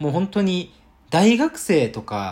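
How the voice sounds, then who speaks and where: The background is silent on a very clean recording. A man's pitch swings very widely as he talks. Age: 20s. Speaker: web business owner, podcaster. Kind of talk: solo podcast monologue.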